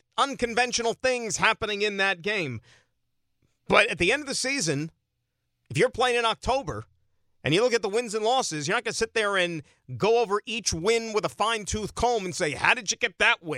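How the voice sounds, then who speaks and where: A raised, projected, high-pitched man's voice with an American accent, bright and sharp in tone, fairly quick with lively intonation, in a dry, close sound with no echo. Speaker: sports radio host. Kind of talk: sports talk radio. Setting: studio. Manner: animated.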